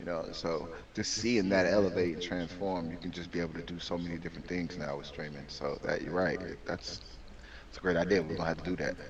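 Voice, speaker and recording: Very fast and in an American accent, a man with a very deep, low pitch talks with ordinary pitch variation. The room echoes audibly, and there is noticeable background noise. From Chicago, US Midwest. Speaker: podcast co-host, sports segment presenter. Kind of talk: casual podcast chat with sports rundown. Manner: animated.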